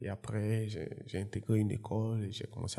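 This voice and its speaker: The voice has a dark, mellow tone and is somewhat breathy, speaking fairly slowly in a flat monotone. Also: man. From Côte d'Ivoire (Yopougon, Abidjan). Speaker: entrepreneur and former footballer. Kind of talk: interview.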